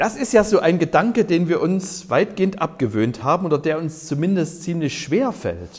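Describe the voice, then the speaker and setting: A high-pitched male voice at a fairly slow pace. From East Germany. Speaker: pastor. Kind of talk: sermon. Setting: care home cafeteria.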